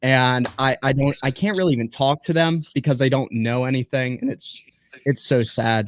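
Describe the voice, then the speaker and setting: An ordinary speaking voice with an American accent and ordinary pitch variation. The recording is very clean with a silent background and a dry, close sound with no echo. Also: man. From US Northeast. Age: young. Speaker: young homesteader and podcaster. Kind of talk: casual chat.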